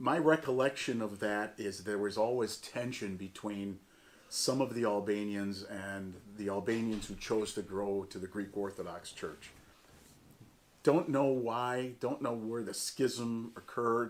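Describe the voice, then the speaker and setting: A man's fairly low, ordinary speaking voice with an American accent, at a fairly slow pace with ordinary pitch variation. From US Northeast, Jamestown, western New York. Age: 60s. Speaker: church community member. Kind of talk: oral history interview.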